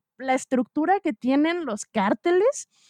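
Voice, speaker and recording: Her high pitch and lively intonation carry at a moderate pace as a woman speaks, in a dry, close recording with no echo. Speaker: podcast co-host. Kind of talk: casual chat.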